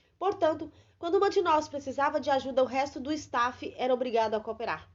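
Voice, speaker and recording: Here a woman speaks with a high pitch at a moderate pace. Her pitch varies in an ordinary way. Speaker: voice actor. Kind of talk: audiobook reading.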